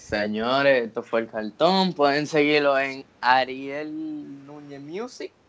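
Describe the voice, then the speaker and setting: A man speaks very slowly in a Dominican accent, his pitch fairly high. His loudness swings widely. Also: ordinary pitch variation. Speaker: podcast host. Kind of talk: casual podcast chat.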